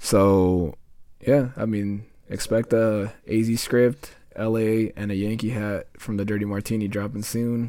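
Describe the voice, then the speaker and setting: With a dark, mellow tone, a man talks at a fairly slow pace in a monotone, flat intonation. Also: fairly low pitch for a man, very clean recording, silent background. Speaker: podcast host and audio editor. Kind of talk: casual chat. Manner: casual, slangy.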